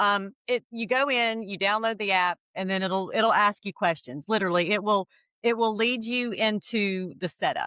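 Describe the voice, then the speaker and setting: Recorded very cleanly with a silent background and a dry, close sound with no echo, a woman speaks with a slight Southern US accent. Her bright, sharp voice sits fairly high, with ordinary pitch variation and a moderate pace. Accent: slight Southern US country. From US Southeast. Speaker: AI consultant and astrologer, co-host. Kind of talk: casual explanatory chat. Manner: halting, many repeated words.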